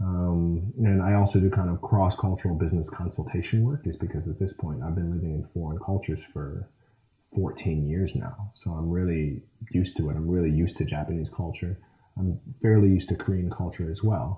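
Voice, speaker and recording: With a Midwestern accent, a man speaks at a fairly quick pace in a very deep, low pitch, his tone dark, mellow and somewhat breathy, with ordinary pitch variation. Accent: American Midwestern. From USA, Michigan. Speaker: action film actor and martial artist. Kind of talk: interview answer.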